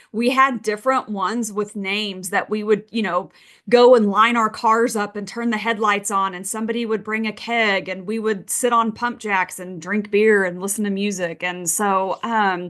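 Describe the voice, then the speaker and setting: Against a quiet background, a woman at medium pitch speaks at a moderate pace with hardly any pauses. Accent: Texas. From Texas, Midland. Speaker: oil and gas investing expert. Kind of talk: webinar presentation. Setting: video call. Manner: animated.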